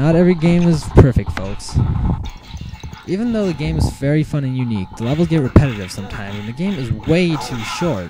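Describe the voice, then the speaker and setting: Over music in the background, a man talks at a fairly quick pace with very wide pitch swings and big swings in loudness. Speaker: video game reviewer. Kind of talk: game review voice-over. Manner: stuttering, some odd pronunciations.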